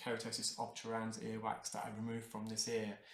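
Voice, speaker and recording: A man speaks at a medium pitch and a moderate pace. Room echo is audible around his voice. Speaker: ear wax removal specialist. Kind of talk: live narration of ear cleaning procedure. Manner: unscripted, halting with fillers.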